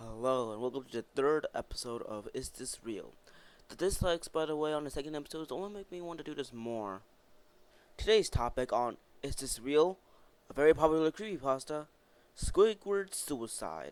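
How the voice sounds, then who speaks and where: A man with a fairly high voice sounds bored yet uses lively intonation, his loudness swinging widely at a moderate pace. The recording is very clean, with a silent background. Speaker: YouTuber. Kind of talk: casual commentary. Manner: bored-sounding.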